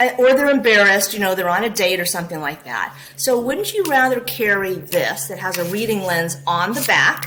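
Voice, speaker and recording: A woman with an American accent speaks at a moderate pace in a medium pitch, with very wide pitch swings. Audible room echo and noticeable background noise are present. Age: 50s. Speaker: optometrist. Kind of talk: interview. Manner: animated.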